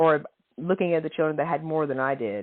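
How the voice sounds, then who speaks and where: In a Tennessee accent, a woman speaks with a very deep, low pitch and ordinary pitch variation. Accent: Southern US (Tennessee). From Tennessee, near Nashville. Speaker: podcast guest writer. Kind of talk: casual chat.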